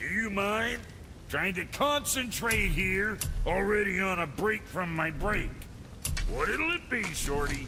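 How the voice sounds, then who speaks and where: A man's gruff, high-pitched put-on character voice at a fairly slow pace, over loud background noise. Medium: video game. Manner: gruff, crude, irritable.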